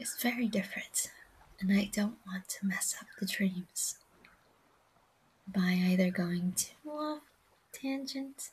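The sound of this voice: A woman speaks slowly with a slightly mellow tone and a husky, rough edge.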